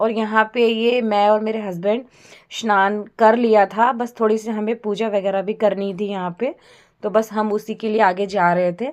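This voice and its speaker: A woman talks at a fairly high pitch and a moderate pace. Her intonation stays monotone and flat. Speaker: vlogger. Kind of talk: travel vlog narration.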